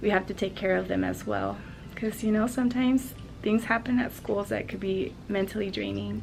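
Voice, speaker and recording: A soft-spoken voice at a moderate pace. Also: woman. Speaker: interior designer and school counselor. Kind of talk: casual vlog. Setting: school office.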